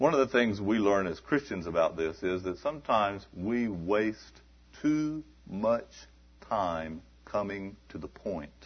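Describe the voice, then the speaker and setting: An ordinary speaking voice from a man, fairly low in pitch, with lively intonation. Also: fairly slow pace. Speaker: missionary preacher. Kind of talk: sermon. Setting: church. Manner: preaching, warm and conversational.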